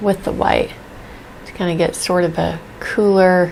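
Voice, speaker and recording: A soft-spoken woman at a fairly low pitch, very slow in pace, with a monotone, flat intonation. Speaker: painting teacher. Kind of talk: tutorial. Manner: casual.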